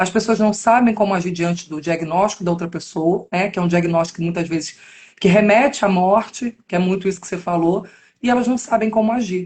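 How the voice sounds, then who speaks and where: At a fairly quick pace, a somewhat breathy woman speaks at medium pitch with ordinary pitch variation. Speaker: podcast host, educational psychologist. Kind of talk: interview.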